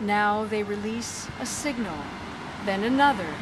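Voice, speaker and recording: Someone talks at a very slow pace over loud background noise. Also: woman. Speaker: poet. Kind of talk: poetry reading. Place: garden. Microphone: phone near.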